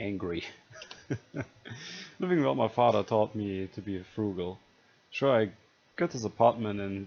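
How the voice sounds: Here is a natural reading voice. That is how it sounds.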